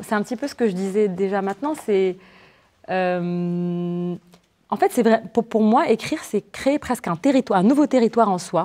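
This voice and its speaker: A woman with a Moroccan accent speaks at a fairly slow pace, her pitch medium and her intonation lively. Her tone is dark and mellow, and the sound is dry and close with no echo. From Morocco. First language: Moroccan Arabic (speaking French). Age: 20s. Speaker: novelist. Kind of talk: literary interview before students. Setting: university library event with audience. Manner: halting, many repetitions and fillers.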